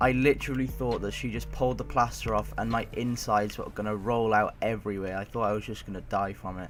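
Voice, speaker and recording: Over music in the background, a man speaks at a very fast pace with hardly any pauses. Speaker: gaming YouTuber. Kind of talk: casual storytelling to camera.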